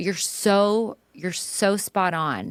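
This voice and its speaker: A woman's voice shows vocal fry, dry and close with no echo, on a very clean recording with a silent background. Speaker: functional medicine provider. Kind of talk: podcast interview. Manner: fast; animated.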